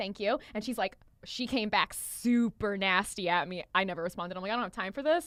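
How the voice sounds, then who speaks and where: Animated in tone, a woman speaks at a medium pitch with ordinary pitch variation. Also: fairly quick pace. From outside the US. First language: not English. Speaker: podcast host and salon business founder. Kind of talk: casual chat.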